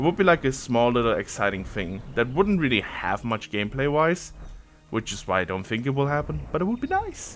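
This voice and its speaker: A man with a German accent, medium pitch, very wide pitch swings and a fairly quick pace. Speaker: gaming content creator. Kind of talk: casual gameplay ramble. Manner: casual, hesitant with fillers and repeats.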